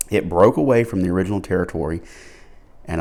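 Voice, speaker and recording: Speaking in a Southern US accent, a man has a very deep, low pitch, a dark, mellow tone and ordinary pitch variation. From Alabama. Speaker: pipe smoking vlogger. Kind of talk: casual monologue. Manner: slow; low energy.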